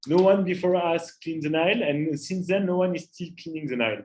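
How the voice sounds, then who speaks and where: Talking at a moderate pace, a man with a high voice speaks in a strong French accent. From France, Paris. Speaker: climate entrepreneur. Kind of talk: interactive talk to students. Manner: hesitant, many filler uhs.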